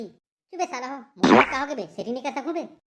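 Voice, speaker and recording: A cartoonish character voice with lively intonation, at a very fast pace. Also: woman, high pitch for a woman. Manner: boastful, gluttonous.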